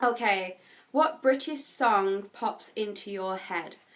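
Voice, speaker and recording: A woman with an English accent speaks very slowly in a fairly high, bright and sharp voice. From England. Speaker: YouTuber. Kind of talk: casual vlog tag video.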